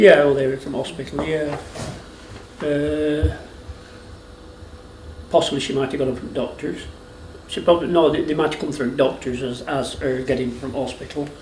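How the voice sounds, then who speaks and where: In a Lancashire accent, a man talks at a moderate pace with a fairly high pitch and fairly even intonation, pausing long and often. Noticeable background noise runs under the recording. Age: 60s. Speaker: retired dairy farmer. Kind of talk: interview answer.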